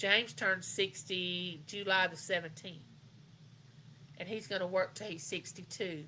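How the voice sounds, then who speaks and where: A woman speaks at a fairly slow pace with a Southern US accent. Her tone is bright and sharp, and her pitch varies in an ordinary way. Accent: US South. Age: 60s. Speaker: live chat host. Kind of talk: casual chat. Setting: livestream.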